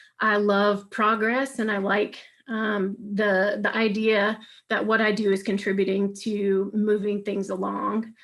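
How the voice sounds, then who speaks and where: A woman with a medium pitch speaks in a monotone, flat intonation at a fairly slow pace against a quiet background. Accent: Southern US. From US South, Alabama. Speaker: clinical research staff. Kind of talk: webinar presentation. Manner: frequent filler words.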